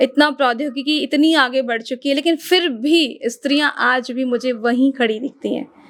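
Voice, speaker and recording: With fairly even intonation, a woman talks in a high pitch. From Uttarakhand, India. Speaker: radio anchor and voice artist. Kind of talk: poetry reading.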